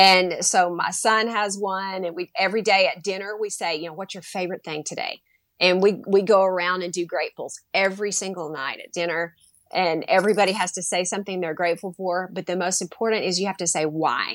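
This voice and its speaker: A woman with an unremarkable speaking voice talks at a fairly quick pace and medium pitch, her intonation fairly even, on a very clean recording with a silent background. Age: 50s. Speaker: teacher and educator. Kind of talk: casual interview.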